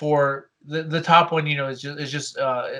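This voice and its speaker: A man with a fairly high pitch talks in a bright, sharp tone with monotone, flat intonation. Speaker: animation teacher. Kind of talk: tutorial. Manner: halting, many repeated words.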